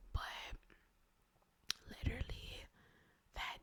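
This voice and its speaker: The speaker is whispering at a very slow pace. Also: woman. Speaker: ASMR creator. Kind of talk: ASMR storytime ramble, casual talk to camera.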